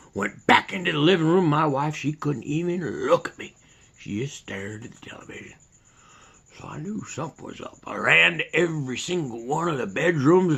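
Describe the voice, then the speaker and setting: Putting on a raspy character voice, a man talks at a fairly quick pace with a fairly high pitch and big swings in loudness. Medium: solo performance. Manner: folksy, rambling.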